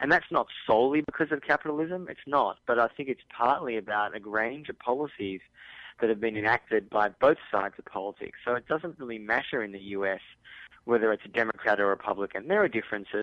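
Ordinary pitch variation marks this very fast delivery in an Australian accent. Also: man. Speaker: journalist and author. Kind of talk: radio interview.

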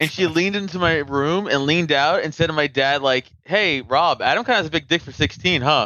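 A man with an unremarkable speaking voice talks at a fairly quick pace with hardly any pauses, his fairly high pitch moving with ordinary variation. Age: 30s. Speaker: comedian and podcaster. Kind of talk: casual chat.

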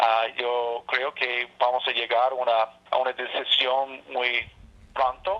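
In an English accent, a man with a medium pitch talks at a very slow pace in a monotone, flat delivery. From Alaska. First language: English (speaking Spanish). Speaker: state senator. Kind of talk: interview. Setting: phone call. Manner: halting.

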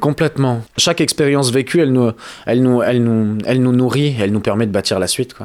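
The delivery is fairly quick, with ordinary pitch variation. Overall, it is a plain, everyday voice. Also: man, medium pitch for a man. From southwest France, Pyrénées-Atlantiques. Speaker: musician. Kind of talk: interview.

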